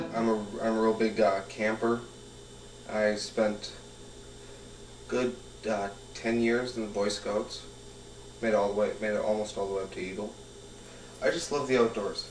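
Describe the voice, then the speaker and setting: Amid noticeable background noise and audible room echo, a man speaks in a fairly low, monotone, flat voice, with long, frequent pauses. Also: moderate pace. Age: 20s. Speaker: roofing worker, pagan interviewee. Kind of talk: documentary interview. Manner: halting, many fillers.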